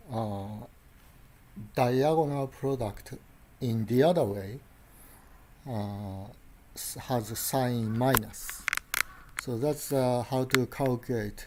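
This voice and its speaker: Speaking at a very slow pace with long, frequent pauses, a man uses a medium pitch and ordinary pitch variation in a Japanese accent. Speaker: lecturer. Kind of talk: lecture. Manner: halting.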